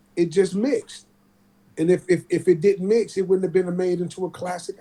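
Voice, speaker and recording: A man's high-pitched voice with a dark, mellow tone and an American accent, at a fairly quick pace. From Oakland, California. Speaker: rapper. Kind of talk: casual chat. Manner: animated.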